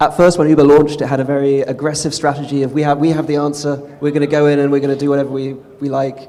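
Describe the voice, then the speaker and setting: A man with a London accent speaks at a very fast pace. His pitch is fairly high. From England, London. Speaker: tech company policy executive. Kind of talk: panel discussion answers.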